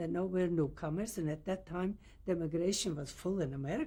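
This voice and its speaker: A woman with a non-native accent and a dark, mellow, somewhat breathy tone talks at a fairly quick pace with ordinary pitch variation. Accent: foreign. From Poland. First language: Yiddish or Polish. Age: 80s+. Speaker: Holocaust survivor. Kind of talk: oral history interview. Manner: halting.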